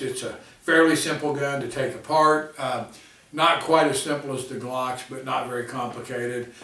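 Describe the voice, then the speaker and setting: Speech at a fairly slow pace with ordinary pitch variation comes through audible room echo and noticeable background noise. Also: man. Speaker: gun reviewer. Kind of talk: product review. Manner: casual, filler-heavy.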